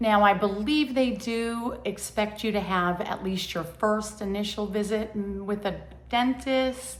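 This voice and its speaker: Speech comes at a fairly slow pace with fairly even intonation. Room echo is audible, and background noise is noticeable. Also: woman, fairly high pitch for a woman. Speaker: lifestyle vlogger. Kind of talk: casual vlog monologue. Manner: hesitant, many fillers.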